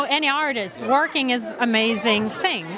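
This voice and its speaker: A woman's high-pitched voice with a Lithuanian accent, very slow and lively in intonation, with audible room echo and crowd noise in the background. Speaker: actress. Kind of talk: red carpet interview.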